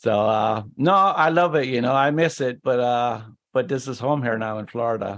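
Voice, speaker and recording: At a moderate pace, a man with an Irish accent speaks at a medium pitch with ordinary pitch variation. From Ireland, Cork. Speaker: injury survivor, wheelchair user. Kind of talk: interview.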